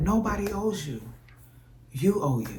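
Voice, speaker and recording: Fairly slow speech from a woman in a room with audible echo. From US South, New Orleans and Texas. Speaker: vlogger. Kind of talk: casual vlog monologue.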